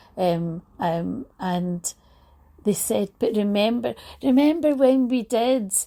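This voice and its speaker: In a Scottish accent, a woman with a fairly high, dark, mellow voice speaks at a very slow pace with lively intonation. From Scotland. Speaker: talk show host. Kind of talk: casual monologue. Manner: animated.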